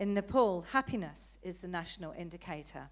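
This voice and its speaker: Speaking at a moderate pace with a British accent and ordinary pitch variation, a woman is heard on a very clean recording with a silent background. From Britain. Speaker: audience member asking questions, politician. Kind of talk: audience question at conference. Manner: hesitant, many fillers.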